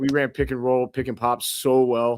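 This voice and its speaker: The recording is very clean, with a silent background. A man with an American accent speaks at a medium pitch. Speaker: basketball podcast host. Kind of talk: casual chat.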